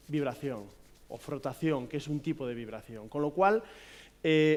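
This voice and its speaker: Speaking with a Galician accent, a man keeps a fairly quick pace. His fairly high pitch shows ordinary variation. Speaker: physiotherapist. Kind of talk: conference talk. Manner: hesitant, many fillers.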